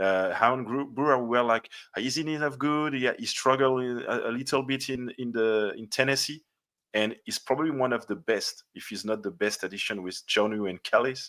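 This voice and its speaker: Over a silent background on a very clean recording, a man with a French accent speaks at medium pitch and a moderate pace, with ordinary pitch variation and a bright, sharp tone. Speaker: football podcast host. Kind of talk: interview. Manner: halting.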